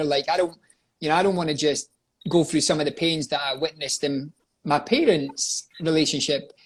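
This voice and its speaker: Fairly high in pitch, a man speaks with fairly even intonation in a very clean recording with a silent background. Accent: Scottish. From Scotland. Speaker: life coach and coaching company owner. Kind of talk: interview, personal life story. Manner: conversational with frequent fillers.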